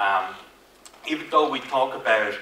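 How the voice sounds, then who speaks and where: A man's voice amid audible room echo and noticeable background noise. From Finland. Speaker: IT consultant / conference speaker. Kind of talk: conference presentation. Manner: hesitant, many fillers and repetitions.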